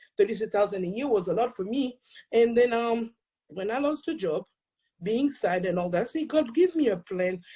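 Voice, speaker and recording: In a strong Haitian accent, a woman speaks at a fairly high pitch with a dark, mellow, somewhat breathy tone and lively intonation. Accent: thick Haitian French Creole. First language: Haitian Creole or French. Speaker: accountant and speaker. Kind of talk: testimony. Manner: fast when excited.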